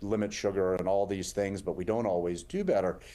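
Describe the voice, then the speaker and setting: A man talks with an American accent at a moderate pace. His voice is fairly low, with a dark, mellow tone. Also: very clean recording, silent background. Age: 50s. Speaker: heart surgeon. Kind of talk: interview.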